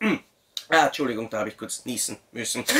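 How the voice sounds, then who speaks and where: A man talks with an Austrian accent. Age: 30s. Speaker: YouTube film reviewer. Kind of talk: video review.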